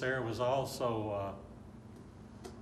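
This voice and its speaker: Over noticeable background noise, a man with an Arkansas accent talks with fairly even intonation. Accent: Southern US (Arkansas). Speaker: local historian, former rodeo rider and air traffic controller. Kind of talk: oral history interview answer.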